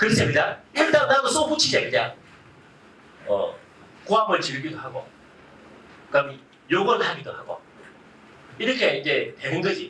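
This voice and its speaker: A man with a strong Gyeongsang accent speaks in an animated tone at a moderate pace with long, frequent pauses, over noticeable background noise and audible room echo. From Gyeongsang, South Korea. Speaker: Buddhist monk giving a public lecture. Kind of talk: public lecture with audience interaction. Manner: animated, conversational.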